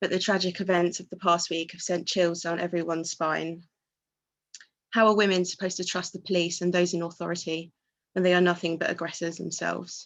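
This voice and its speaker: At a fairly quick pace, a woman with a fairly low pitch talks in a shaky voice with monotone, flat intonation. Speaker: student union president. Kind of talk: speech at a vigil or rally. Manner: emotional, shaky.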